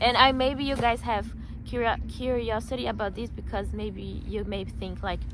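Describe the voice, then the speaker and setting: A woman at a moderate pace, with audible room echo. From Brazil. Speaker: vlogger. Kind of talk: casual chat.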